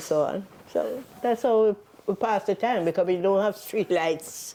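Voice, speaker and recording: With a Jamaican accent, a woman speaks at a fairly slow pace in a dark, mellow tone of medium pitch, with ordinary pitch variation and very even loudness. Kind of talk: oral history interview answer.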